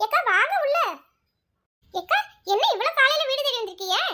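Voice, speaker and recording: A squeaky, cartoonish character voice bounces along with lively intonation. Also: woman, extremely high pitch for a woman, moderate pace. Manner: warm, colloquial rural Tamil.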